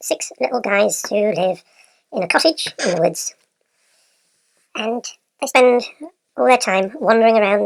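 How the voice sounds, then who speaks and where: At a moderate pace, a woman uses a squeaky, put-on character voice pitched fairly high. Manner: sped-up, reading a story aloud.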